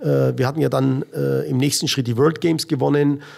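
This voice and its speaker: A man is speaking. His pace is moderate. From Middle Franconia, Bavaria (Rothenburg ob der Tauber). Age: 50s. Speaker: American football coach. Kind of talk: interview. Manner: halting, many fillers.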